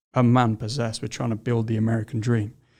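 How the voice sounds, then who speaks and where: Speaking at medium pitch with a British accent, a man keeps a monotone, flat intonation on a very clean recording with a silent background. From England. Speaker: founder of a recruiting firm for construction. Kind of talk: podcast interview.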